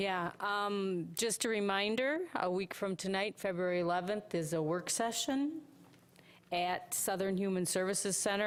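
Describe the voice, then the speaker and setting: On a very clean recording with a silent background, a woman speaks at a moderate pace with fairly even intonation. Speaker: county manager. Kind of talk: brief report at public meeting. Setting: county commission meeting room.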